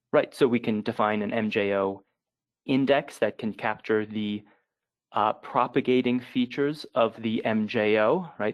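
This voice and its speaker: His pitch is medium. The speaker is a man. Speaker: climate researcher presenting. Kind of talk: webinar presentation. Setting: online webinar. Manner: halting, many fillers.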